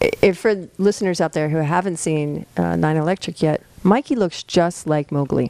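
In a normal speaking voice, a woman talks at a fairly low pitch and a moderate pace with ordinary pitch variation and hardly any pauses, the sound dry and close with no echo. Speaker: podcast host. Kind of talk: casual chat. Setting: studio.

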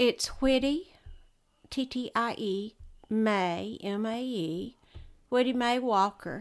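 In a very clean recording with a silent background, a woman with a Texan accent talks at a very slow pace, her fairly high pitch showing ordinary variation, with long, frequent pauses. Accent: Texan Southern US. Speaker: host's mother. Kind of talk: casual chat. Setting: home, birds and TV in background.

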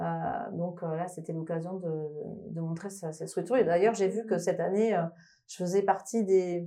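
With a slight Toulouse accent, a woman speaks at a moderate pace in a fairly low, dark, mellow voice with fairly even intonation, and audible room echo surrounds her. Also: big swings in loudness. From France, Toulouse. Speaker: electronic musician. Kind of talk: interview. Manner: halting.

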